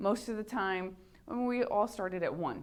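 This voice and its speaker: Audible room echo surrounds a woman speaking at a moderate pace in a medium pitch. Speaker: high school math teacher. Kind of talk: lecture.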